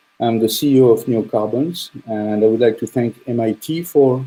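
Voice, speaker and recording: A man speaks at a fairly slow pace with a strong French accent. His pitch sits in the middle range, with a dark, mellow tone and ordinary pitch variation. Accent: French, thick. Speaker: startup CEO and engineer. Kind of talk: presentation talk.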